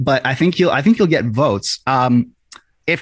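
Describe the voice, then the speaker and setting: A man with an unremarkable speaking voice, fairly high in pitch, talks at a moderate pace with lively intonation. The sound is dry and close, with no echo. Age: 20s. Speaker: hockey writer and podcaster. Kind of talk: casual chat.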